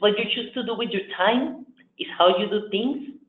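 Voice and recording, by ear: At a moderate pace and a medium pitch, a woman speaks with ordinary pitch variation amid audible room echo.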